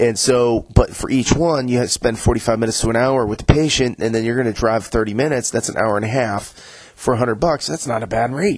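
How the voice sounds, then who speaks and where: At a fairly quick pace, a man talks at a medium pitch with ordinary pitch variation over noticeable background noise. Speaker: nurse practitioner podcast host. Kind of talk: solo podcast monologue. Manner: casual, halting with fillers.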